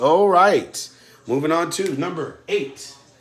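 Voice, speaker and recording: Audible room echo surrounds a man as he talks. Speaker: math teacher. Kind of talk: tutorial. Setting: recorded video lesson for distance learning.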